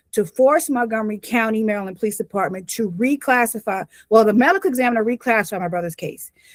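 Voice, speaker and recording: Speaking at a fairly quick pace, a woman has a fairly high pitch with ordinary variation. The sound is dry and close with no echo, on a very clean recording with a silent background. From US South (North Carolina). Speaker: victim's family member giving testimony. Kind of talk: public testimony. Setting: public commission meeting. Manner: fast.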